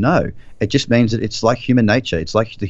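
A man with an Australian accent speaks at a fairly low pitch. His pace is fairly quick. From Queensland, Australia. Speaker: trader and trading mentor. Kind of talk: interview.

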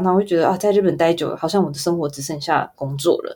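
Her voice has a dark, mellow tone and a fairly low pitch, with ordinary pitch variation and a Taiwanese accent. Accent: Taiwanese Mandarin. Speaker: advertising photographer. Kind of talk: interview.

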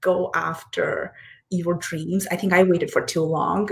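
At a fairly slow pace, a woman speaks in a somewhat breathy voice with monotone, flat intonation. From India, Hyderabad. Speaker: startup founder. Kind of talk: interview.

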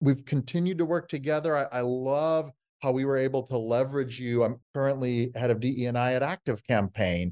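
A man with an American accent and an ordinary speaking voice talks at a fairly quick pace and medium pitch, with ordinary pitch variation. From United States. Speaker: diversity and inclusion lead. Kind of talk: interview conversation.

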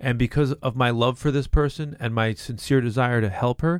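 In an ordinary speaking voice, a man of medium pitch speaks at a moderate pace with ordinary pitch variation. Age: 50s. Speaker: juice bar founder. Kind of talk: casual chat.

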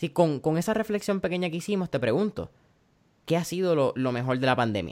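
A man with a fairly high pitch and a normal speaking voice talks at a fairly quick pace with lively intonation, in a very clean recording with a silent background. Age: 20s. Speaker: podcast host. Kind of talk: interview. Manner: casual, Spanish-English code-switching.

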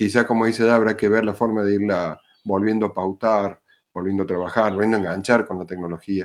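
This man speaks very fast with a Cordoban Argentine accent. His fairly low voice holds a monotone, flat intonation. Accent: Argentine Spanish, Córdoba. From Argentina, Córdoba. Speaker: school principal. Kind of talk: roundtable discussion.

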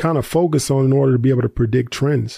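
Speaking with an American accent, a man uses a fairly high pitch and a dark, mellow tone that is somewhat breathy. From US South, Tennessee. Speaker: investor and content creator. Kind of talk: interview. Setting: studio.

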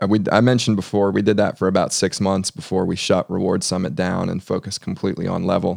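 Talking at a very fast pace, a man uses a fairly low pitch with vocal fry and fairly even intonation. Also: dry, close sound with no echo. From US, Northern Virginia. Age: 40s. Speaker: tech entrepreneur and CEO. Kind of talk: interview. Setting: studio.

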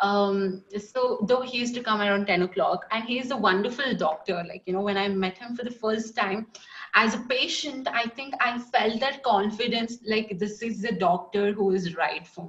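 Fairly high-pitched female speech at a moderate pace, with ordinary pitch variation and noticeable background noise. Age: 20s. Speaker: poet and dancer. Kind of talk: interview. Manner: hesitant with fillers.

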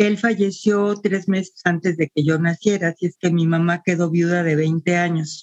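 A woman with a Mexican accent speaks at a moderate pace in a fairly low pitch, her loudness very even, her intonation fairly even, with hardly any pauses in a dry, close recording with no echo. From Mexico City. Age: 70s. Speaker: retired teacher and social worker. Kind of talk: interview, personal life story.

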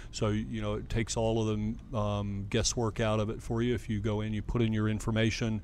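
A man with an American accent at a fairly quick pace, hardly any pauses. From US South. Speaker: doctor and chef. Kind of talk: casual chat.

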